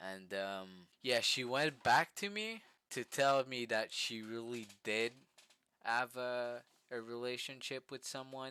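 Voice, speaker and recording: A man at a medium pitch with a bright, sharp tone, speaking at a very slow pace with ordinary pitch variation. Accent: French. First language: French. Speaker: vlogger. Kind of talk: casual storytelling vlog. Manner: halting, many fillers and repetitions.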